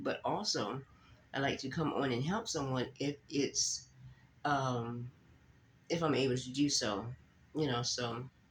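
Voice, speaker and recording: A man speaks at a fairly slow pace in a fairly high pitch. His voice is somewhat breathy, with ordinary pitch variation. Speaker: faith vlogger. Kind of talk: casual vlog talk.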